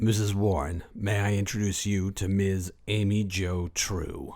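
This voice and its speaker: A man's put-on character voice, fairly low in pitch, with fairly even intonation. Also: fairly slow pace. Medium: audio drama. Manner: polite, formal.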